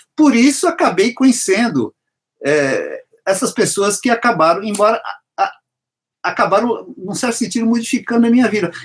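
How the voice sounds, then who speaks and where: At a moderate pace, a man with an extremely high pitch speaks with long, frequent pauses. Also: lively intonation. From São Paulo, Brazil, raised in Bahian household. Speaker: singer-songwriter. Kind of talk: interview conversation. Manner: halting, with many restarts.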